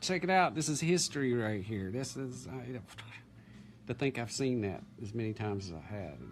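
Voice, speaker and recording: Over music in the background, a man speaks in an excited tone with lively intonation. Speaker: grandson interviewing his grandfather. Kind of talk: casual family interview.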